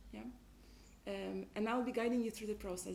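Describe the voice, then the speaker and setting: A woman's voice with audible room echo. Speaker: team coach. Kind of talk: workshop facilitation. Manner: fast.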